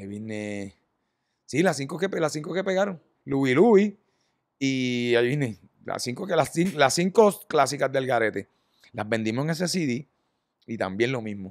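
A man with a Puerto Rican accent at a moderate pace, with very wide pitch swings, big swings in loudness and long, frequent pauses. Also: medium pitch for a man. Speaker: rock band musician. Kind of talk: casual chat.

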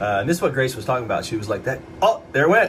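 Music plays in the background. A man of medium pitch talks with an American accent. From Ohio. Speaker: antiques auction vlogger. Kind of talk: casual vlog narration. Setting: on location, indoors and around a crowded antique mall. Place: shop. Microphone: phone near.

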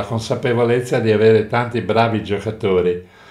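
A man with fairly even intonation speaks in audible room echo over a quiet background. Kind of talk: interview answer. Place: home room.

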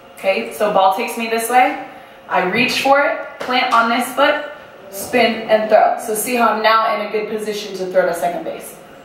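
A woman talks at a moderate pace with ordinary pitch variation. Audible room echo and light background noise sit around her voice. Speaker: presenter. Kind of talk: lecture. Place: hall.

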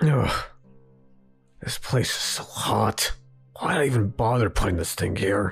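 A man uses a cartoonish character voice at medium pitch and a moderate pace, with faint music in the background. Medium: puppet show. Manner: curt, sarcastic, dismissive.

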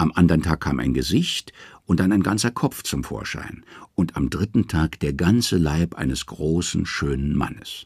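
A very deep, low-pitched man's voice with vocal fry, lively intonation and a fairly slow pace. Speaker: audiobook narrator. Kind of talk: dramatic narration of Norse myths, read aloud as an audiobook. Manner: measured storytelling pace, hushed and ominous, with a mythic tone and emphatic pauses.

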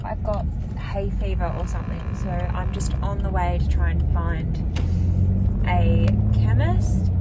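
A woman speaks at a very slow pace with ordinary pitch variation. Loud background noise runs behind her. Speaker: parent vlogger. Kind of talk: casual vlog chat. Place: car. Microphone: phone near.

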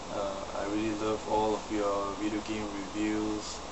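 A man speaks at a moderate pace. Noticeable background noise can be heard. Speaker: hobbyist vlogger. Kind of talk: casual talk to camera. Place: home room. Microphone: webcam.

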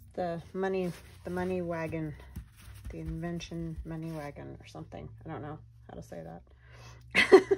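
A woman's mumbling, with big swings in loudness. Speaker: craft video creator. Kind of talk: casual crafting tutorial. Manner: soft-spoken; mumbles while working.

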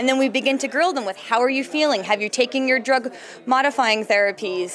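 A woman speaks at a high pitch. Light background noise sits behind her. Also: ordinary pitch variation. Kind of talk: interview answer. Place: hall. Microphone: handheld.

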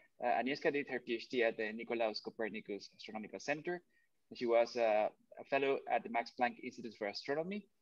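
A man talks at a very fast pace with ordinary pitch variation. The sound is dry with no echo, over a quiet background. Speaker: seminar moderator. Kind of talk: formal introduction. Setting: video call. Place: home room. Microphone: webcam.

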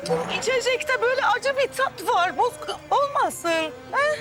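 A woman puts on an extremely high-pitched character voice with a fairly bright tone and lively intonation, speaking at a fairly slow pace over faint background music.

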